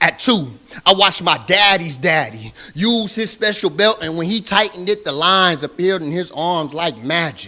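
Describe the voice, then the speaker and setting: A man with a high pitch speaks at a moderate pace in a passionate, intense tone. His bright, sharp voice carries lively intonation. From Southern California. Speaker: spoken word poet. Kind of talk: spoken word poetry performance. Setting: live stage.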